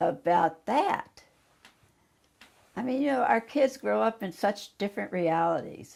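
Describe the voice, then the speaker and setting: A woman with vocal fry speaks fairly slowly, using very wide pitch swings. The recording is very clean, with a silent background. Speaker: civil rights activist. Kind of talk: interview answer.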